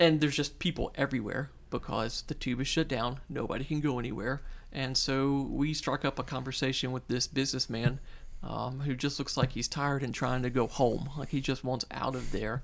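Over a silent background in a very clean recording, a man talks at a fairly quick pace in a medium pitch, flat and monotone with vocal fry. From Louisiana, North Shore of New Orleans. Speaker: missionary and former worship pastor. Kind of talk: interview.

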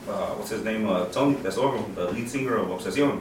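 Over noticeable background noise and audible room echo, a man with an American accent talks at a fairly quick pace with a medium pitch and ordinary pitch variation. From Houston, Texas (Mexican family). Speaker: truck scene brand owner. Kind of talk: casual chat.

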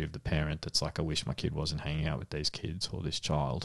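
Against a quiet background, a man with an Australian accent and a very deep, low pitch speaks very fast. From Australia, Melbourne (Frankston). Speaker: paediatrician and podcast co-host. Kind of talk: casual chat.

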